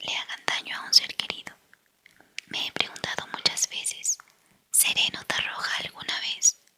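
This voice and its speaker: Whispering at a moderate pace, a woman is heard in a dry, close sound with no echo. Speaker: audiobook reader. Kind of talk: whispered book reading. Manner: whispered.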